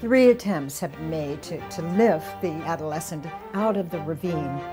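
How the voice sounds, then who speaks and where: Over clear music in the background, a woman talks fairly slowly with a fairly low pitch and ordinary pitch variation. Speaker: interviewee. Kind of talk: interview answer. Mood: earnest, wistful storytelling. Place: home room.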